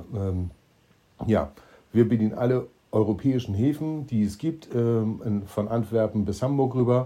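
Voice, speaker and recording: A man's medium-pitched, dark, mellow voice at a fairly slow pace, with ordinary pitch variation and long, frequent pauses. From eastern Germany. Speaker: entrepreneur, podcast co-host. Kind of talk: casual chat.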